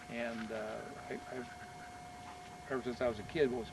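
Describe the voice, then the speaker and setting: A voice with a Midwestern US accent comes through over noticeable background noise. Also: man. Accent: US Midwest. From eastern Nebraska, Missouri Valley. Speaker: retired engineer and local farmer. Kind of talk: oral history interview. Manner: hesitant, many fillers.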